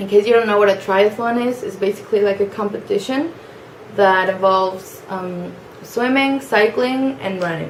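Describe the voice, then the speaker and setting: Medium-pitched speech from a woman with a Spanish accent, at a moderate pace and with ordinary pitch variation, over noticeable background noise. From Mexico (Mexico City, Cancun). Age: 20s. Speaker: young job applicant introducing herself. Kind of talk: personal introduction video. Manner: casual with frequent fillers and hesitations.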